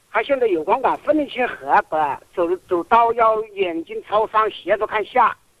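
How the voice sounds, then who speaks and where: With lively intonation and a high pitch, a man speaks at a moderate pace in a dry, close sound with no echo. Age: 60s. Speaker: caller with failing eyesight. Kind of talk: radio call-in question.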